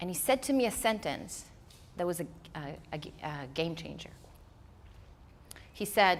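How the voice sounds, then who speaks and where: This woman's voice swings very widely in pitch and loudness, with vocal fry. She leaves long, frequent pauses. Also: fairly low pitch for a woman, moderate pace. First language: not English. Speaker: speaker. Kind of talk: keynote talk.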